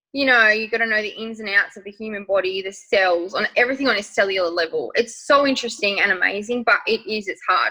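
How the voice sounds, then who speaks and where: Speaking very fast, a woman with an Australian accent has a fairly high pitch and a bright, sharp tone. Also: ordinary pitch variation, hardly any pauses. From rural Western Australia. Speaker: makeup artist and nursing student. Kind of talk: interview. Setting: podcast recording.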